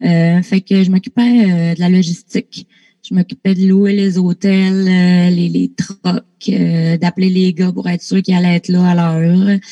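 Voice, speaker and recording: A woman's dark, mellow, somewhat breathy voice at medium pitch, in a Lac-Saint-Jean accent, monotone and flat, fairly slow, with very even loudness. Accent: Lac-Saint-Jean Quebec French. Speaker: artist manager. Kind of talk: casual interview.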